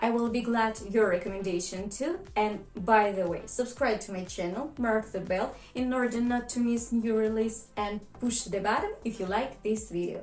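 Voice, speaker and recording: Against music in the background and audible room echo, a woman with a Russian accent talks fairly slowly at a fairly high pitch. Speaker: vlogger. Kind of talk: scripted narration.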